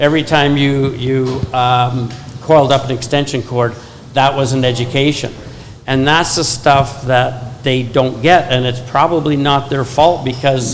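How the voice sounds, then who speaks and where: A man talks at a fairly slow pace in a flat, monotone delivery at a medium pitch. Room echo is audible, and background noise is noticeable. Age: 60s. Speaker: plumbing consultant on a panel. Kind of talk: panel discussion.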